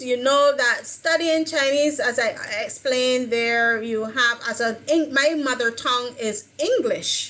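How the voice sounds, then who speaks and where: A woman's raised, projected voice, high-pitched, bright and sharp, at a fairly slow pace. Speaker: Chinese language learner and teacher. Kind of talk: online discussion panel. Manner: halting.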